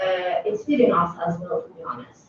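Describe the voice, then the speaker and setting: Moderately paced speech from a woman with a non-native accent. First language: not English. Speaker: scientist on panel. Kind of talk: panel discussion. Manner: halting, many fillers.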